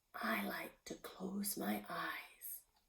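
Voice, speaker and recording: A woman is whispering. She uses a put-on character voice. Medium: read story. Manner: courteous, gentle.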